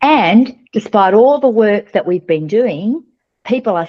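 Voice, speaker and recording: With an Australian accent, a woman talks at a moderate pace in an animated tone, her pitch swinging very widely. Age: 60s. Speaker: company founder and CEO. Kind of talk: podcast interview.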